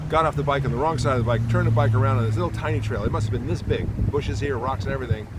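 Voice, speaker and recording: A man speaking very fast amid noticeable background noise and audible room echo. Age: 60s. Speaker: cycling podcast host. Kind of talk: casual monologue. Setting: outdoors in a park.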